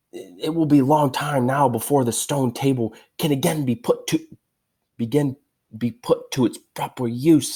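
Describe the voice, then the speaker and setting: At a moderate pace, a man performs a put-on character voice with a fairly high pitch. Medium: read story.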